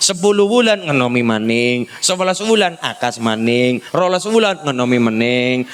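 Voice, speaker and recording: An animated man with a fairly high pitch and very wide pitch swings at a fairly slow pace, with noticeable background noise. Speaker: Islamic preacher. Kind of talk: sermon.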